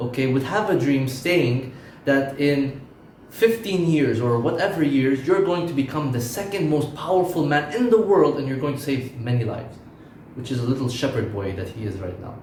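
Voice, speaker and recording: A man's fairly high voice with lively intonation and a moderate pace, plus noticeable background noise and audible room echo. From Lebanon. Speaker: preacher. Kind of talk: sermon.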